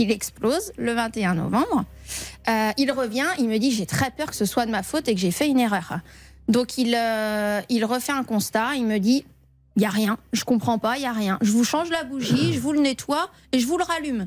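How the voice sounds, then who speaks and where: In an unremarkable speaking voice, a woman talks at a moderate pace with a fairly high pitch and lively intonation. The recording is very clean, with a silent background. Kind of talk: radio quiz answer. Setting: studio.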